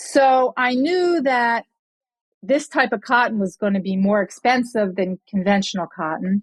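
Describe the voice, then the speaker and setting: A woman speaks fairly slowly in a normal speaking voice, pitched fairly high, with lively intonation. The sound is dry and close with no echo, on a very clean recording with a silent background. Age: 60s. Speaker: entrepreneur. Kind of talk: interview. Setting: podcast.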